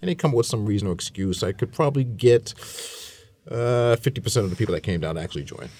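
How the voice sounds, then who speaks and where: A man's medium-pitched voice at a very fast pace, with lively intonation and noticeable background noise. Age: 50s. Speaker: chamber of commerce director and business consultant. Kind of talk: radio roundtable discussion. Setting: radio studio.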